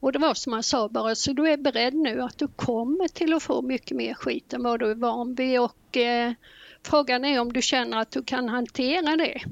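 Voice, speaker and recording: At a moderate pace, a woman talks with a high pitch and fairly even intonation. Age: 60s. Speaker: retired nurse and gamer. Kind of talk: casual chat.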